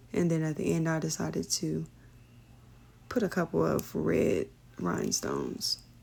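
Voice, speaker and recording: With an American accent, a woman speaks at a moderate pace and very even loudness. She leaves long, frequent pauses. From Indiana, US Midwest. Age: 30s. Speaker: beauty vlogger. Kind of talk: casual vlog voiceover.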